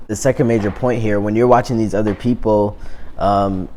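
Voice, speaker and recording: A man talks at a moderate pace. His voice is fairly low. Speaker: YouTuber. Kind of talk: vlog monologue. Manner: casual, many fillers.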